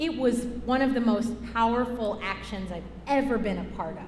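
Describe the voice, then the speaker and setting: An animated woman at a fairly slow pace, with audible room echo. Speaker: climate justice organizer. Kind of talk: talk during church service. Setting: church. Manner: loud.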